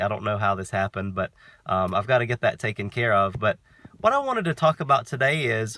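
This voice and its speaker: Recorded very cleanly with a silent background and a dry, close sound with no echo, a man of medium pitch with an American accent speaks at a fairly quick pace in a bright, sharp tone with ordinary pitch variation. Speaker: vlogger. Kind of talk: casual vlog monologue. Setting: outdoors.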